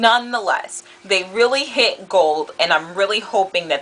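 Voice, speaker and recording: A woman's pitch varies in an ordinary way, with noticeable background noise behind her. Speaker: beauty vlogger. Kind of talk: product review. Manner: animated.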